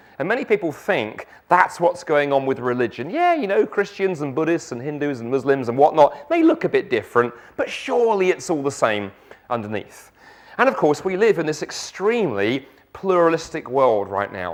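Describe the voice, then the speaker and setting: Speaking with a South London accent, a man uses a fairly high pitch with very wide pitch swings at a moderate pace. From South London, England. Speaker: guest preacher. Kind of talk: sermon.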